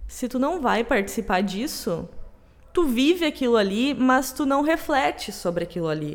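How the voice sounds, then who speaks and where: A woman with a southern Brazilian accent speaks at a moderate pace in a high voice with very wide pitch swings. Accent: gaúcho Brazilian Portuguese. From Rio Grande do Sul, Brazil. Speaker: podcast co-host. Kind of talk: casual chat.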